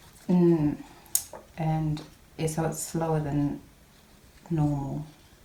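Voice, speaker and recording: A woman with a very deep, low pitch speaks at a very slow pace in monotone, flat intonation. Audible room echo and noticeable background noise surround her. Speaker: papercraft video maker. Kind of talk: crafting tutorial. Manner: mumbling a bit; casual, chatty.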